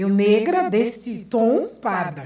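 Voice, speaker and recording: A woman with a fairly high voice swings her pitch very widely, sounding somewhat breathy against audible room echo. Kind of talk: lecture and debate answer.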